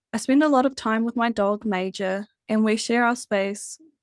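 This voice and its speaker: In a very clean recording with a silent background and a dry, close sound with no echo, a woman with a New Zealand accent speaks at a fairly slow pace in a gentle, calm tone with fairly even intonation. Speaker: spiritual hypnotherapist and podcast host. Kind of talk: scripted podcast monologue.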